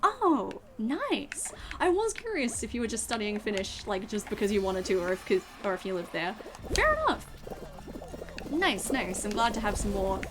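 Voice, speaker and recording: Music plays in the background. The speaker has an Australian accent and keeps a moderate pace. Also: woman. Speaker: VTuber streamer. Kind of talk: casual chat. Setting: live stream.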